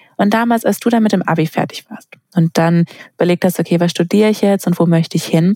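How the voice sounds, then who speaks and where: Speaking very fast with fairly even intonation, a woman at a medium pitch comes through in a dry, close sound with no echo. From Baden-Württemberg, Sindelfingen near Stuttgart. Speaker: university podcast host. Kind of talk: interview.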